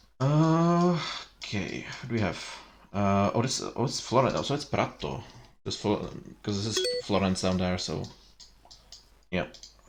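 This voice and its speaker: A man with a Czech accent talks at a fairly slow pace, leaving long, frequent pauses. His fairly low voice moves in very wide pitch swings. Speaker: streamer. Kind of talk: casual chat. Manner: halting.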